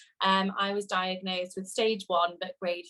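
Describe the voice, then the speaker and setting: Speaking at a moderate pace in a medium pitch, a woman talks with a West Midlands accent. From England, Shropshire. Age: 20s. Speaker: cancer patient. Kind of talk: testimony. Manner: hesitant, many fillers.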